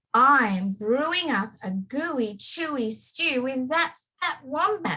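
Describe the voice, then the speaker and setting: A woman puts on a character voice, high-pitched and sing-song, delivered at a very slow pace. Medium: read story. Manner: gleeful, sing-song.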